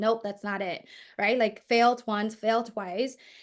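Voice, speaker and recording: A woman's fairly high voice in a Vietnamese accent, at a fairly quick pace, over a quiet background. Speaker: performance coach and entrepreneur. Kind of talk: interview.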